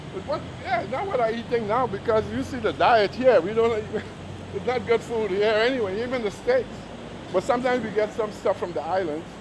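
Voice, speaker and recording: A man's high voice at a fairly quick pace with ordinary pitch variation, against noticeable background noise. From Trinidad. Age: 80s+. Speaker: retired US Army Vietnam veteran. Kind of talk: casual interview chat.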